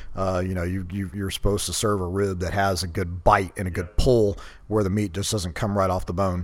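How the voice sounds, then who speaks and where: With a Texan accent, a man talks at a fairly quick pace in a very deep, low pitch and a monotone, flat intonation. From Texas, Katy near Houston. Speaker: barbecue restaurant owner and army veteran. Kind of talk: casual interview.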